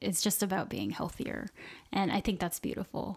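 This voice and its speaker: The recording is very clean and the background silent. A woman talks at a medium pitch with vocal fry. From US South, Southwest Florida. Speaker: podcast guest. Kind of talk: interview. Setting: kitchen table recording.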